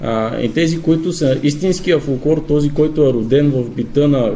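A man at a fairly slow pace with ordinary pitch variation and audible room echo. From Bulgaria, Zlatograd (Rhodopes). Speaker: bagpiper and folk singer. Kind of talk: radio interview.

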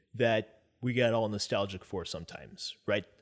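This man uses a plain, everyday voice. He talks at medium pitch and a moderate pace. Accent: American. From United States. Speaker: political guest, restaurant worker. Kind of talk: casual discussion.

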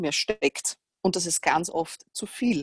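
A woman with a Viennese accent sounds somewhat breathy, and the sound is dry and close with no echo. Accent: Viennese Austrian German. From Austria, Vienna. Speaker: fitness coach and trainer educator. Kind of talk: casual interview chat.

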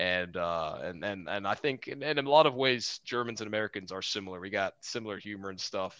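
Fairly low-pitched male voice in a Texan accent, animated and bright with a sharp edge, ordinary pitch variation, hardly any pauses, quiet background. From Houston, Texas. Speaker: Air Force officer, Aggie alumnus. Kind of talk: casual interview chat, storytelling. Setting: video call from Germany. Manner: jokey, animated.

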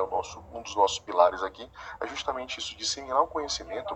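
A man talks over noticeable background noise. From Bahia, Brazil. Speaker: air-conditioning company manager. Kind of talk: interview. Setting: office, remote interview.

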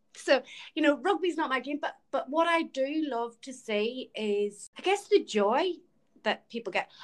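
With an Irish accent and lively intonation, a woman talks at a fairly slow pace in a high voice. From Ireland. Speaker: podcast host. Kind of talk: casual chat.

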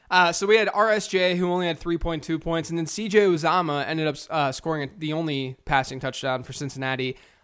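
A man talks at a very fast pace in a fairly high, animated voice with ordinary pitch variation. The recording is very clean, with a silent background. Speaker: fantasy football podcast host. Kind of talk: casual banter podcast. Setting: home recording with background noise. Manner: joking, animated.

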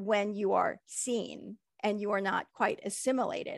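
The recording is very clean and the background silent. A woman talks at a very slow pace. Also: dry, close sound with no echo. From United States, child of Hong Kong immigrants. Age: 40s. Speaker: guest sharing life story. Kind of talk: interview.

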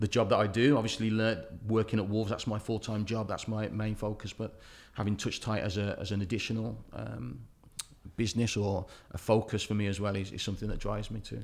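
Fairly low and full of vocal fry, a man's voice runs at a very fast pace with fairly even intonation. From Wolverhampton, England. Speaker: youth football coach. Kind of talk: casual interview. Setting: office.

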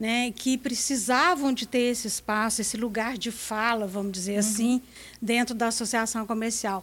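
A woman with a plain, everyday voice and a fairly high pitch talks at a moderate pace with fairly even intonation. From Minas Gerais, Brazil. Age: 60s. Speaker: businesswoman and association leader. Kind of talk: radio interview.

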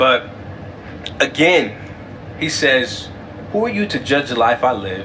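With an American accent, a man speaks at a fairly slow pace over noticeable background noise. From California. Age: 20s. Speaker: podcast host. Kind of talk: faith-based solo monologue.

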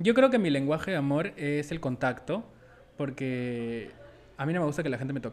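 Using a plain, everyday voice, a man speaks at a moderate pace with fairly high pitch and ordinary pitch variation. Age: 20s. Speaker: podcast host. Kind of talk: casual chat.

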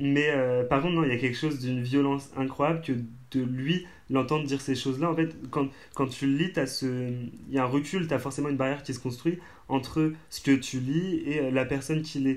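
A man with a normal speaking voice, a fairly high pitch, fairly even intonation and a moderate pace, in a very clean recording with a silent background. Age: 20s. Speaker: theatre company member, student. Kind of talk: casual chat.

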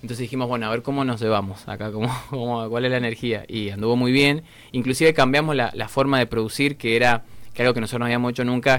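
The man's pitch sits in the medium range and his intonation is monotone and flat. He talks at a very fast pace. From Argentina, Mendoza. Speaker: rock musician. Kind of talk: interview. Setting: studio.

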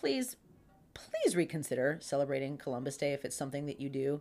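A woman with a Pittsburgh accent at a fairly quick pace, in a very clean recording with a silent background. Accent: Pittsburgh accent (Western Pennsylvania). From Pittsburgh, Pennsylvania. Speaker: podcast co-host. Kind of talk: casual chat. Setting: at a co-host's home.

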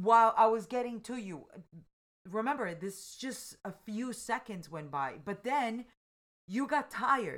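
In a very clean recording with a silent background, a woman speaks at a fairly high pitch and a fairly slow pace. Her intonation is lively, with vocal fry and big swings in loudness. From Colombia. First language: Spanish. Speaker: mother of the hosts. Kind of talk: casual chat.

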